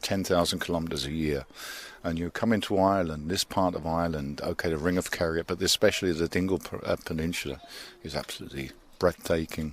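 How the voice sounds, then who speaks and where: A man talks at a very fast pace. His pitch is very deep and low, with ordinary pitch variation. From London, England. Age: 60s. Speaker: cycling tourist. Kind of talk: casual interview. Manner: halting, many fillers and repeats.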